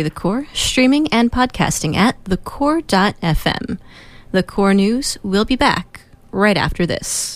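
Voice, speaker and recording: A woman's ordinary speaking voice, fairly slow in pace, with lively intonation. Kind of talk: radio newsreading, weekly war news bulletin. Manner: measured, formal, steady news-anchor pace.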